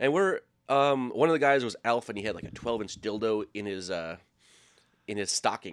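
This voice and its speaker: On a very clean recording with a silent background, a man with an American accent and a normal speaking voice talks at a medium pitch and a moderate pace, with lively intonation. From Minnesota. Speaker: sports TV production worker. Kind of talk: storytelling.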